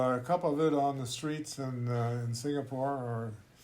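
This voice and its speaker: Amid audible room echo, a man talks at a moderate pace with a fairly high pitch and fairly even intonation. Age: 80s+. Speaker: intercultural trainer. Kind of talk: casual chat. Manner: halting.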